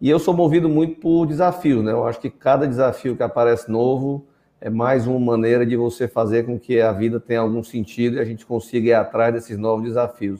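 A dark, mellow tone with ordinary pitch variation over a quiet background. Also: man. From Northeast Brazil (Fortaleza). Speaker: telecom executive and founder. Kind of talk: webinar panel discussion.

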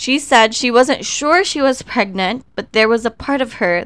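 With a normal speaking voice and lively intonation, a woman talks at a fairly slow pace on a very clean recording with a silent background. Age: 30s. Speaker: podcast host. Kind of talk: solo commentary podcast.

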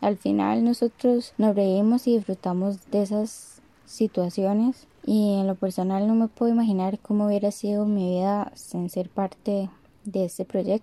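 The tone is dark and mellow, with fairly even intonation at a fairly slow pace. The sound is dry and close, with no echo. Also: woman, medium pitch for a woman. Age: 20s. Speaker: dancer. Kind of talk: testimony.

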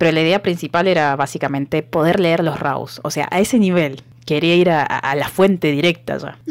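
Noticeable background noise sits behind a woman's very deep, low voice. She speaks at a moderate pace with ordinary pitch variation. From Argentina, outside Buenos Aires. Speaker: podcast co-host. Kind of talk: casual chat.

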